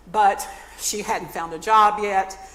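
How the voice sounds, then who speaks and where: A woman speaks with an American accent at a medium pitch. Her intonation is monotone and flat, with noticeable background noise behind her. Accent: Southern US, stronger when talking fast. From North Carolina. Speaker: nonprofit speaker, former church music minister. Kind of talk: talk to a community audience.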